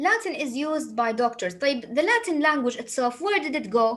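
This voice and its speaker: A woman talks with an Arabic accent and lively intonation. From Saudi Arabia. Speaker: English teacher. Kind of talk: lecture.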